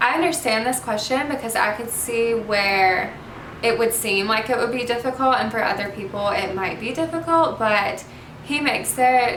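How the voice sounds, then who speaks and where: A woman with a Southern US accent, ordinary pitch variation, audible room echo, and noticeable background noise. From US South, Mobile, Alabama. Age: 20s. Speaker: youtuber. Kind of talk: casual Q&A vlog. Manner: casual, hesitant with fillers.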